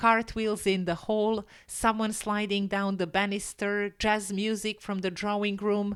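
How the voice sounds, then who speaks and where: In a very clean recording with a silent background, a woman with a normal speaking voice talks at medium pitch and a fairly slow pace. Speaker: English teacher. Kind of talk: story reading for English learners. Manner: gentle, clear.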